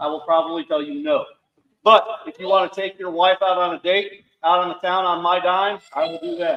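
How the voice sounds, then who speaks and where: A man's high-pitched voice moves with ordinary pitch variation. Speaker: Marine veteran, foundation founder. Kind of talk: speech to audience. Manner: loud.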